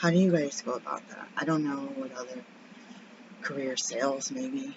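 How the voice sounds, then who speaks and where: Speaking quietly at a moderate pace, a woman swings her pitch very widely while noticeable background noise runs underneath. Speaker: birth assistant and vlogger. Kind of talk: casual vlog check-in.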